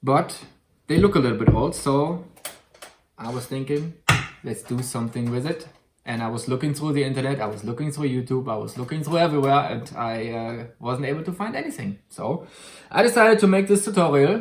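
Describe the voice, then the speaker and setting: With a German accent, a man speaks at a fairly high pitch and a fairly quick pace, his intonation lively. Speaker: YouTuber. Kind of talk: tutorial; casual chat. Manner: halting.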